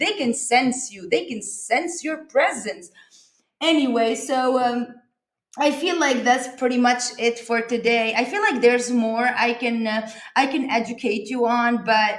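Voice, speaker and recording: A woman with a non-native accent speaks at a fairly slow pace in a high voice, her pitch varying in an ordinary way. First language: not English. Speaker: comedic vlogger. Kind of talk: casual comedic vlog. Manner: halting, many fillers.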